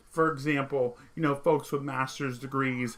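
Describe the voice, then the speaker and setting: With a slight Vermont accent, a man talks at a moderate pace in a fairly high pitch and a bright, sharp tone. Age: 30s. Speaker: political commentary streamer. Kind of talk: monologue commentary.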